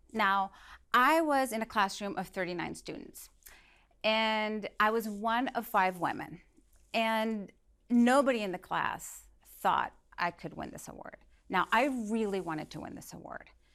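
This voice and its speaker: On a very clean recording with a silent background, a woman with a bright, sharp tone and fairly high pitch speaks at a fairly slow pace, with long, frequent pauses and big swings in loudness. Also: ordinary pitch variation. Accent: Spanish. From Venezuela. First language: Spanish. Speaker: motivational speaker. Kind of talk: inspirational talk.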